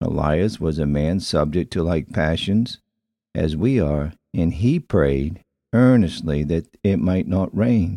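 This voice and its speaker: A man speaks in a solemn, dark and mellow tone with lively intonation. The background is quiet. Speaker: radio preacher. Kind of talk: scripture reading and prayer in a daily devotional broadcast. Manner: formal, solemn, earnest cadence.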